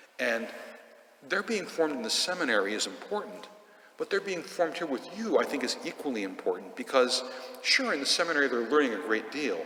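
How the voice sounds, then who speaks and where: A man speaks at a fairly quick pace and a fairly high pitch, with very wide pitch swings. Audible room echo and noticeable background noise fill the recording. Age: 60s. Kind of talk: sermon. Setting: church.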